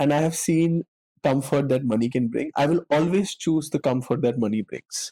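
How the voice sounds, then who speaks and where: Here a man with an Indian accent speaks at a fairly high pitch with ordinary pitch variation and a dark, mellow tone. His moderate pace comes through in a dry, close sound with no echo. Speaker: actor. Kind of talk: casual chat.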